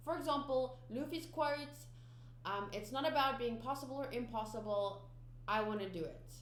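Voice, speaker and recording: A woman speaks with a fairly high pitch and lively intonation. Audible room echo surrounds her voice. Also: moderate pace. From South Africa. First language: Afrikaans. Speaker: anime reaction youtuber. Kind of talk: casual vlog chat to viewers. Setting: home studio. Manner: halting, many fillers and restarts.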